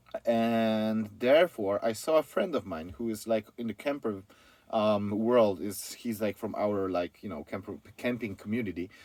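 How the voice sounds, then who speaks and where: In a Polish accent, a man with a fairly low pitch talks with ordinary pitch variation. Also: moderate pace. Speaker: van conversion company founder. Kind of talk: interview. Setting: company office.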